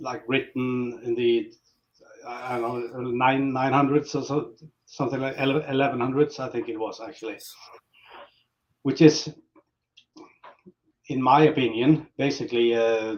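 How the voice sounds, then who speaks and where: A man with a Norwegian accent speaks at a moderate pace in a medium pitch, his intonation flat and monotone, with long, frequent pauses. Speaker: metal band musician. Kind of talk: interview.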